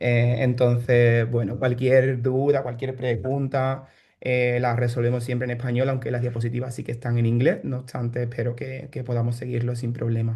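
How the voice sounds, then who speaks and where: In a somewhat breathy, dark and mellow tone, a man speaks at a moderate pace with hardly any pauses and monotone, flat intonation. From Spain, Seville (Andalusia). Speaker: bioinformatician and startup founder. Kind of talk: online workshop presentation. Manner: hesitant, many fillers and repetitions.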